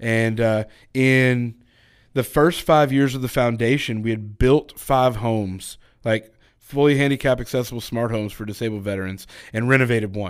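A man with an American accent and an unremarkable speaking voice talks at medium pitch and a moderate pace with fairly even intonation. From Texas, small town. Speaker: apparel company employee, army veteran. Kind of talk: casual chat. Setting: studio.

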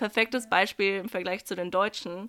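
The recording is very clean, with a silent background. A woman talks at a moderate pace with medium pitch, ordinary pitch variation and a bright, sharp tone. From Germany (village). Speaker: podcast host and au pair. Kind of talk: casual chat.

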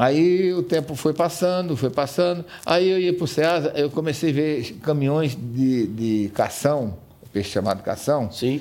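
This man's dark, mellow tone sits at a fairly high pitch, with lively intonation, very even loudness and a fairly slow pace. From Brazil, rural Paraíba (Northeast). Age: 60s. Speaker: business owner. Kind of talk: interview.

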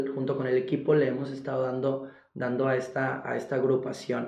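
A man speaks with vocal fry. Audible room echo surrounds the voice. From Golfo de Santa Clara, Sonora, Mexico. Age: 20s. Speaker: contemporary dancer. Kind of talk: interview conversation. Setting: studio with video cameras.

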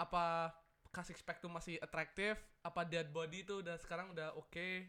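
This man's voice is high-pitched, with a bright, sharp tone. He goes at a fairly quick pace with monotone, flat intonation. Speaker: podcast co-host. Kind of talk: casual chat.

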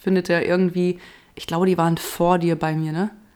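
On a very clean recording with a silent background, a woman at medium pitch speaks at a moderate pace. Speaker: podcast host and radio presenter. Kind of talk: casual chat.

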